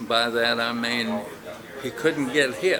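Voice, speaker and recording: A man speaks at a very slow pace. Noticeable background noise and audible room echo surround him. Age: 70s. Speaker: karate school owner and martial arts instructor. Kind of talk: interview.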